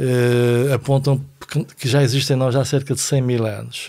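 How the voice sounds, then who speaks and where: A man talks at a moderate pace and medium pitch. His intonation is fairly even. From Portugal, Vila Nova de Foz Côa. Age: 60s. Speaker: philosophy teacher and author. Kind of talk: casual chat.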